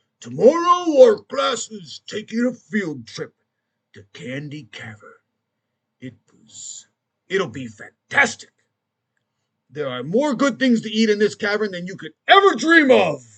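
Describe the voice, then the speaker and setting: A man's put-on character voice, high-pitched with very wide pitch swings, at a fairly slow pace with long, frequent pauses. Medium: read story. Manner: coaxing, manipulative.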